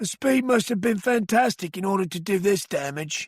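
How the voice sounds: Putting on a character voice with a South London accent, a man speaks hoarsely at a high pitch and a moderate pace, with ordinary pitch variation.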